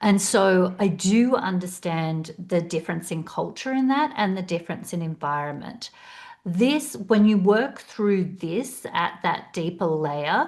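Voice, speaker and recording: With an Australian accent, a woman talks at a fairly slow pace in a medium pitch, her intonation lively. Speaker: career coach. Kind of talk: webinar presentation.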